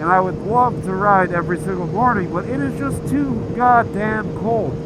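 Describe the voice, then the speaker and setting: A man at a fairly slow pace with very wide pitch swings, noticeable background noise and audible room echo. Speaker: motovlogger. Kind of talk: casual vlog monologue. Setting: riding a motorcycle outdoors.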